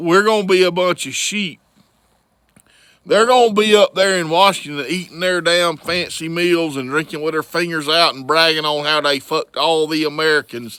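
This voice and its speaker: With a bright, sharp tone, a man speaks at a high pitch and a moderate pace, using ordinary pitch variation. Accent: Southern US. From US South, Florida Panhandle. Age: 50s. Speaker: vlogger. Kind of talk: political rant. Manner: animated.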